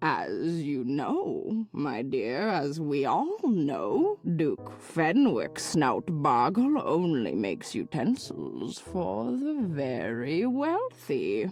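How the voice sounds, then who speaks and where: A put-on character voice at a middle pitch moves at a very slow pace with hardly any pauses. Music plays in the background. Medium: video game. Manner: fussy, calls everyone dearie.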